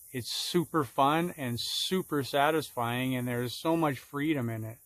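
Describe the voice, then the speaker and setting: A man with an American accent has an ordinary speaking voice, fairly high in pitch, with ordinary pitch variation at a fairly slow pace. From Minnesota, Minneapolis. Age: 60s. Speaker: sign and window painter teaching a course. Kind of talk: solo Q&A monologue, promotional. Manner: casual, conversational with fillers.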